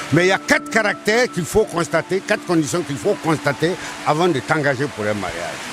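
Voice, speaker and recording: Over noticeable background noise, a man talks at a fairly quick pace. His pitch is fairly high and his intonation lively. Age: 70s. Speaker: elder interviewee. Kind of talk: interview.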